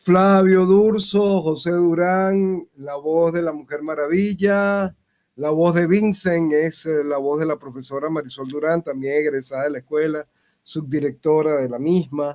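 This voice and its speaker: With a plain, everyday voice, a man speaks at a fairly slow pace, his fairly high pitch showing ordinary pitch variation. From Venezuela. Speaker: voice actor and acting teacher. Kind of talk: interview. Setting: video call. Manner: formal. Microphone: dropping connection.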